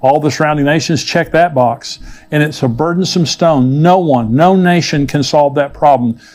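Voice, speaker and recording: Speaking in an unremarkable speaking voice, a man with a fairly high pitch keeps a moderate pace, very even loudness and ordinary pitch variation. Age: 60s. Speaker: pastor. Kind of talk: sermon.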